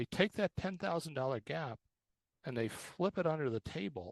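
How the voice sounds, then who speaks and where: Vocal fry marks this man's fairly high voice, which swings very widely in pitch, heard dry and close with no echo against a quiet background. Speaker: college advisor presenter. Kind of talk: presentation. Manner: animated.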